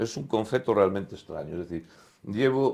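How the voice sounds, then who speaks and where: An unremarkable speaking voice belongs to a man talking at a moderate pace. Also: very clean recording, silent background. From Spain, Galicia (Lugo). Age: 60s. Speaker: sports journalist, former basketball player. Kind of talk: casual interview chat.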